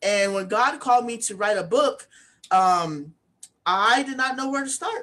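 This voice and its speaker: Her intonation is lively, with a bright, sharp tone. The woman's pitch is fairly high. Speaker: author and speaking coach. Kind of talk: interview. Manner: mumbling at times; hesitant, many fillers.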